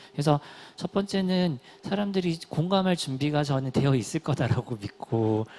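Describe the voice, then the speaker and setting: A man speaks in a Gyeongsang accent. His tone is dark and mellow, with lively intonation. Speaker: nonprofit platform organizer. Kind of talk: panel discussion.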